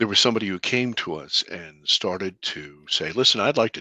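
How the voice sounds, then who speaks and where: At a moderate pace, a bright, sharp voice comes through dry and close with no echo against a quiet background. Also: man. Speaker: filmmaker and alien abduction experiencer. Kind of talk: interview storytelling.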